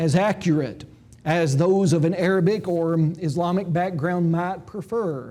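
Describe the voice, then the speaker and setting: A man with a Tennessee accent talks at a moderate pace in a high pitch with ordinary pitch variation, and the room echo is audible. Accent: Tennessee rural Southern dialect. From Tennessee, Jackson County. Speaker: Bible school lecturer. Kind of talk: lecture. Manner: hesitant with frequent 'uh' fillers; formal.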